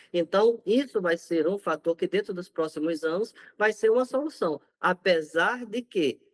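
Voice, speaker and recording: With a northeastern Brazilian accent, a man speaks at a high pitch with very wide pitch swings. His moderate pace comes through in a dry, close sound with no echo. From Brazilian Northeast. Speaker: infectious disease doctor. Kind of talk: interview.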